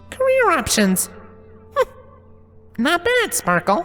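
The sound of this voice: A man's put-on character voice, extremely high and bright and sharp, with very wide pitch swings, a slow pace, and faint music in the background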